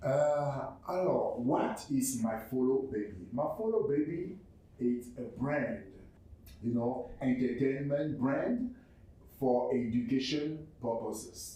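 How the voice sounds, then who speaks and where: Very slowly and at medium pitch, a man speaks with very even loudness and ordinary pitch variation in audible room echo. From Cameroon. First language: French. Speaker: entrepreneur and arts organization representative. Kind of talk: presentation pitch. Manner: halting, many fillers and repetitions.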